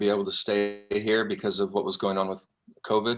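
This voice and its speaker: A man's fairly low voice is heard over background music. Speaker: singer-songwriter. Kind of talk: interview answer.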